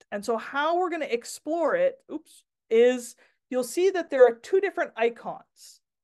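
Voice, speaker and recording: A woman at a moderate pace, with very wide pitch swings, against a quiet background. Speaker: workshop presenter for teachers. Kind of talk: online workshop presentation. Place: home room. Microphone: video call.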